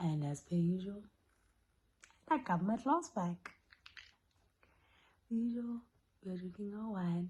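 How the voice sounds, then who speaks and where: A soft-spoken, somewhat breathy woman's voice with a dark, mellow tone, medium pitch and lively intonation, at a fairly slow pace with long, frequent pauses. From South Africa. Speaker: YouTuber. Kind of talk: storytime vlog. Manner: animated.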